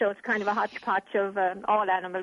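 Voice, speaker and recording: A woman with an Irish accent at a medium pitch, very fast pace and monotone, flat intonation, in a dry, close sound with no echo. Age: 70s. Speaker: animal welfare charity chairperson. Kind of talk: interview.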